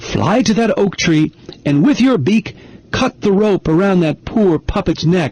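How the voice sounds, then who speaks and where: Delivered at a moderate pace and a middle pitch, this is a put-on character voice. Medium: read story. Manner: gentle.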